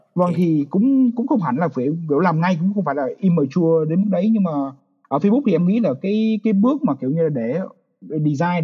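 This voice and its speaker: This man talks at a very fast pace with a high pitch. His intonation is lively. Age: 20s. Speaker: software engineer. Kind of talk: casual chat.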